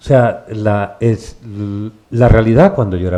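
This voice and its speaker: This is an ordinary speaking voice. It moves at a fairly slow pace. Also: man. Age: 60s. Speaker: bookshop event host, interviewer. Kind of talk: public conversation with author.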